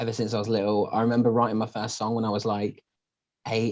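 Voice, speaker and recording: A man's dark, mellow tone with a British accent, over a quiet background. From English Midlands, Northampton. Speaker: singer. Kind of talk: casual interview.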